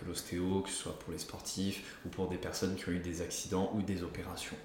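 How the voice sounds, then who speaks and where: With audible room echo, a man speaks at a moderate pace in a very deep, low voice and a monotone, flat intonation. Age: 20s. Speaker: osteopath. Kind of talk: casual interview. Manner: hesitant, many fillers.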